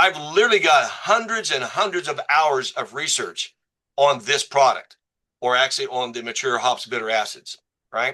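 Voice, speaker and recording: Bright and sharp in tone, a man with a fairly high pitch talks at a moderate pace in an animated way, his pitch swinging very widely. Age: 60s. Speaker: doctor promoting a supplement. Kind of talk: presentation to a group, sales pitch. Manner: animated, conversational.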